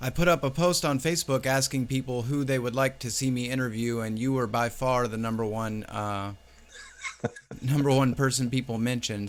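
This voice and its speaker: With an ordinary speaking voice, a man of medium pitch talks at a fairly quick pace with fairly even intonation. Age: 30s. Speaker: livestream interview host. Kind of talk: casual interview.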